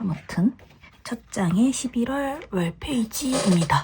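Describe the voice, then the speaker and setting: Very slow speech against noticeable background noise. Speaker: journaling hobby vlogger. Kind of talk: casual show-and-tell narration. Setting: at home.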